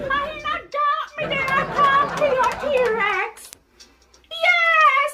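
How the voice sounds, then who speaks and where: A female-sounding voice speaks at an extremely high pitch in a put-on character voice. The pace is very slow. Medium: role play.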